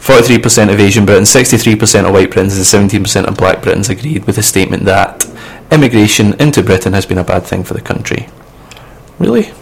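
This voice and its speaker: A fairly quick, fairly low-pitched man's voice with ordinary pitch variation amid noticeable background noise. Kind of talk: casual banter between co-hosts on a student radio show. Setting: radio studio. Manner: opinionated, sometimes indignant.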